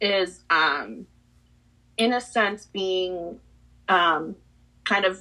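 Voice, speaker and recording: This voice has a bright, sharp tone and ordinary pitch variation, speaking in a Spanish accent against a quiet background. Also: woman. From Peru. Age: 20s. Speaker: podcast guest, property manager. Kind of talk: casual interview chat.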